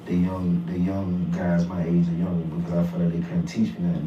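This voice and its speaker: With an American accent, a man talks at a fairly quick pace in a very deep, low pitch, his intonation monotone and flat, with audible room echo. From US South, South Carolina. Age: 30s. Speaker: podcast guest. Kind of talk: casual interview chat.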